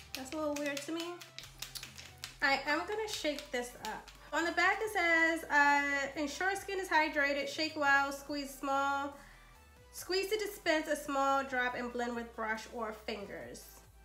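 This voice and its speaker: A raised, projected voice at a very slow pace, with lively intonation, long, frequent pauses and music in the background. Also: woman. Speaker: beauty YouTuber. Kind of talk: casual talk to camera.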